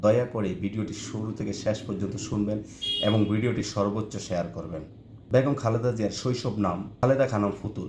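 Noticeable background noise and audible room echo accompany a man's fairly low voice with ordinary pitch variation. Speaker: online video narrator. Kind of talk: memorial tribute monologue.

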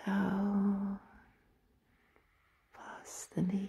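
The delivery is monotone and flat, with a dark, mellow tone. It sounds calm and soothing, and somewhat breathy. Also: woman. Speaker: ASMR and reiki practitioner, meditation guide. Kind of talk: guided relaxation meditation. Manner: slow, calm, soothing. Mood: warm, smiling.

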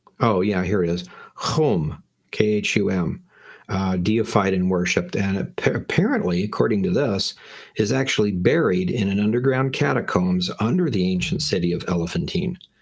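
A quiet background sits behind speech delivered at a moderate pace. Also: man, fairly low pitch for a man. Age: 50s. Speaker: Bible teacher. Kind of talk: lecture. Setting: livestream. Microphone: webcam.

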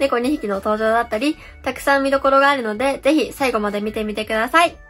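Over faint background music, a woman talks very fast at a high pitch with ordinary pitch variation. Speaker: beginner farmer. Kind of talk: casual talk to camera. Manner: slightly nervous. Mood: a little nervous, cheerful. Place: home room. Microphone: phone near.

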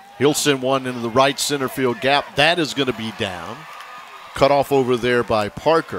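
A man talks at a medium pitch with ordinary pitch variation. Noticeable background noise is present. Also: moderate pace. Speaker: play-by-play announcer. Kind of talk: live baseball play-by-play, clipped highlight calls of each pitch and play. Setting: broadcast booth at the ballpark. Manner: steady, matter-of-fact narration between plays.

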